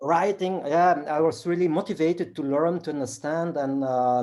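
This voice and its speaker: This man has a dark, mellow tone and ordinary pitch variation. He speaks at a moderate pace. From Belgium (Flanders), born in South Korea, adopted at four. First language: Flemish (Dutch). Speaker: martial artist and action film actor. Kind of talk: interview. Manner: halting, many fillers.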